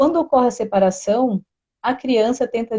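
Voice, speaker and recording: In a dry, close sound with no echo, a woman speaks fairly quickly at a high pitch, her tone dark and mellow, with ordinary pitch variation. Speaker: therapy presenter. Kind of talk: educational live stream talk. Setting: live stream. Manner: fast.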